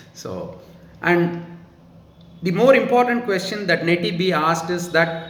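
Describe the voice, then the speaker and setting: Spoken in a Tamil Indian accent, the clip has audible room echo and noticeable background noise. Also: man. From India, Tamil Nadu. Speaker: YouTuber answering viewer questions. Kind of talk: casual monologue, Q&A. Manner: slow, careful; formal sentences.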